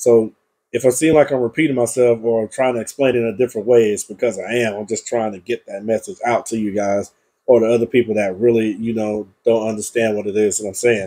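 A man talks at a very fast pace. His tone is dark and mellow, with fairly even intonation. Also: medium pitch for a man. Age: 20s. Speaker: youtuber reacting to videos. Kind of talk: casual solo vlog commentary. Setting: home screen recording late at night. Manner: repetitive, halting with fillers.

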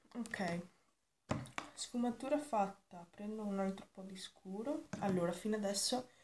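A woman's fairly slow speech with ordinary pitch variation and big swings in loudness, over noticeable background noise. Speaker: beauty vlogger. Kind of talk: makeup tutorial chat. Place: home room. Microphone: webcam.

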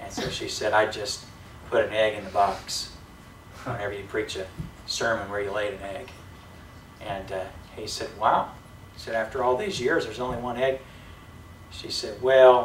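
Long, frequent pauses mark a man's fairly even speech, heard with audible room echo and light background noise. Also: moderate pace. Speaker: preacher. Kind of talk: sermon. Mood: lighthearted, amused. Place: church. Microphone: camera far.

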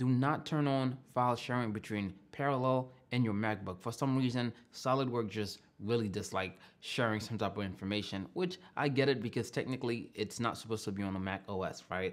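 The pace is fairly quick as a man talks. Ordinary pitch variation runs through his speech. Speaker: tech vlogger. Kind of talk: tutorial. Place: home room.

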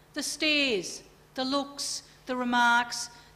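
An Australian accent from a woman. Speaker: keynote speaker. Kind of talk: keynote lecture. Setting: conference stage with audience. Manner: animated. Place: meeting room. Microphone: podium.

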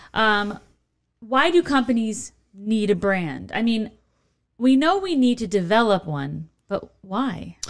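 With an American accent, a woman with a fairly high pitch and lively intonation speaks at a very slow pace over a quiet background. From Chicago, Illinois. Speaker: podcast host. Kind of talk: podcast interview. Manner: animated. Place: studio. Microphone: studio mic.

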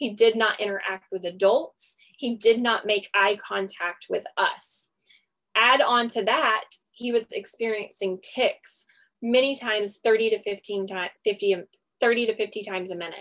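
Against a quiet background, a woman with a fairly high pitch speaks at a fairly slow pace with fairly even intonation in an unremarkable speaking voice. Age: 30s. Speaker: registered nurse and network marketer. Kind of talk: sales pitch. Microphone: video call.

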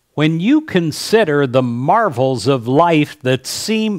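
Over a quiet background, a man speaks with a fairly high pitch. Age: 60s. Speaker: pastor; speaker. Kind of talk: devotional message. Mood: warm, gentle, inspirational. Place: home room. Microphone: headset.

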